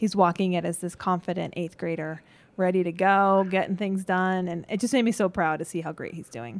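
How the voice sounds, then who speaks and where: At a fairly quick pace, a woman uses an ordinary speaking voice at a medium pitch. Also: ordinary pitch variation, very clean recording, silent background. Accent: American. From Colorado. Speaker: middle school science teacher. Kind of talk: interview. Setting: classroom.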